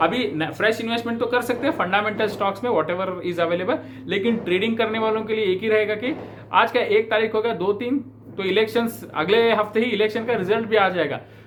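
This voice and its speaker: With a high pitch and ordinary pitch variation, a man talks at a moderate pace over noticeable background noise. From South India, Bangalore. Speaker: stock market commentator. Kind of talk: market analysis talk to camera. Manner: hesitant with fillers, Hindi-English code-switching.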